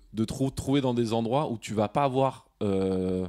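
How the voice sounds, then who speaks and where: Pitch moves in an ordinary way. The voice has a dark, mellow tone. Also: man. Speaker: podcast host. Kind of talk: casual chat. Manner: halting.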